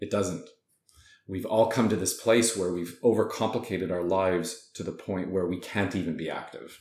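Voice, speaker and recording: A man's very deep, low voice at a fairly quick pace, with audible room echo. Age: 40s. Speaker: fitness and wellness entrepreneur. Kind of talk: interview.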